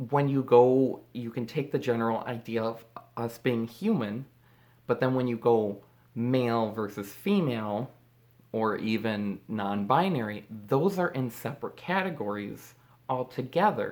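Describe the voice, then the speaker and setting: A woman with a very deep, low pitch talks at a fairly slow pace, her intonation lively. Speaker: vlogger. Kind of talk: casual talk to camera. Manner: halting.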